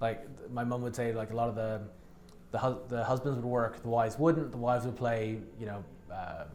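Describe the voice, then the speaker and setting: Audible room echo surrounds a man with a Dublin accent. He talks at a fairly quick pace with fairly even intonation. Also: medium pitch for a man. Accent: posh Dublin Irish. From Turks and Caicos, schooled in Ireland. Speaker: real estate agent. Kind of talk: casual interview chat.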